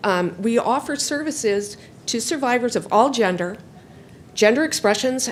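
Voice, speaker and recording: Noticeable background noise surrounds a woman speaking at a moderate pace. Her voice is fairly high, with lively intonation. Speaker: nonprofit donor engagement specialist, public commenter. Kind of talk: public comment at a county board meeting. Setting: county board meeting room. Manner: loud.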